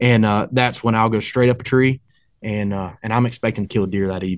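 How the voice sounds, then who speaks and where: A man with an Appalachian accent talks at a very fast pace in a medium pitch. His intonation stays fairly even against a quiet background. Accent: Appalachian Southern US. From North Carolina mountains, Boone area. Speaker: hunter and English teacher. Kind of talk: casual chat.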